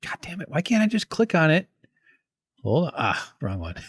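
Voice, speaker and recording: Somewhat breathy, a man speaks at a moderate pace with very wide pitch swings, in a dry, close sound with no echo. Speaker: streamer. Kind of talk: casual chat. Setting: live stream. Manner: halting.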